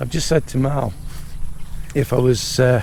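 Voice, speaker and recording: A man speaks at a fairly slow pace with fairly even intonation. Noticeable background noise runs behind him. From Britain. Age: 50s. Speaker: vlogger. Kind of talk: casual vlog chat. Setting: outdoors at a resort.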